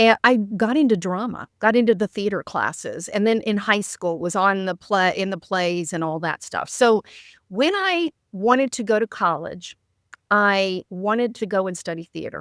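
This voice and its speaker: A woman's normal speaking voice at a medium pitch, with ordinary pitch variation and a moderate pace, in a dry, close recording with no echo, very clean and with a silent background. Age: 60s. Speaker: author and coach. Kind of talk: casual chat.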